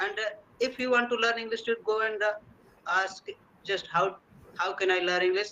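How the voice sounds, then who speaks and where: A man speaks in a raised, projected voice. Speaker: English learner. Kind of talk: conversation practice interview. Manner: fast; halting, many fillers.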